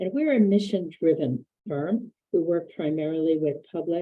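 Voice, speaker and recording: Soft-spoken, a woman with a very deep, low pitch talks at a fairly slow pace with ordinary pitch variation. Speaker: architect. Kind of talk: webinar presentation. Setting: video call from office.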